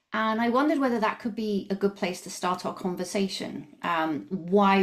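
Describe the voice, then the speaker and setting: Her pitch variation is ordinary as the woman talks at a moderate pace. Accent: slight Canadian. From southern England, near Brighton. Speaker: coach and founder of coaching tools business. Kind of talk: podcast interview.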